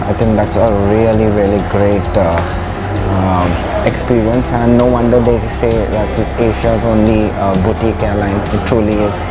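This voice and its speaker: A man talks at a moderate pace while loud music plays behind him. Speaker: travel vlogger host. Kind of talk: casual vlog chat. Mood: enthusiastic, pleased. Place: hall. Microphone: lapel.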